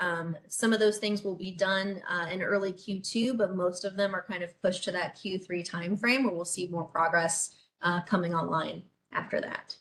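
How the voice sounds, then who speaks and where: A woman speaks at a medium pitch with fairly even intonation. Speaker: city government official. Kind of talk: webinar presentation. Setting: online webinar. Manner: fast.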